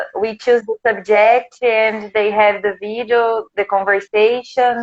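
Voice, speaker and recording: Speaking at a fairly slow pace, a woman uses monotone, flat intonation at a fairly high pitch. The recording is dry and close, with no echo. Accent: Portuguese. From Brazil, countryside of São Paulo state. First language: Portuguese. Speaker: English teacher. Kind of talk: interview. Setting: live video stream.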